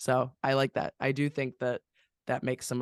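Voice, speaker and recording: Here a man talks at medium pitch with fairly even intonation. He has an unremarkable speaking voice and a fairly quick pace. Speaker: podcast host. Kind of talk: casual podcast talk. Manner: casual, conversational.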